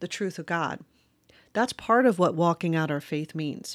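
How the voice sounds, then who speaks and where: A woman's lively intonation with an American accent at a moderate pace, in a very clean recording with a silent background. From US South, rural Virginia (Westmoreland County). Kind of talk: solo faith podcast monologue. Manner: hesitant, many fillers.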